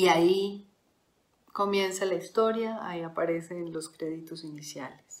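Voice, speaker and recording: A woman speaks in a plain, everyday voice, fairly low and fairly even in intonation. Her pace is fairly slow, and her loudness swings a lot. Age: 40s. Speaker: podcast host. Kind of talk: solo reflective monologue.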